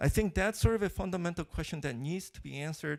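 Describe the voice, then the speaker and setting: A man with a non-native accent speaks at a moderate pace in a high pitch. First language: not English. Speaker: keynote speaker, computer architecture researcher. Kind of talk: conference keynote talk. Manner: hesitant, many fillers and restarts.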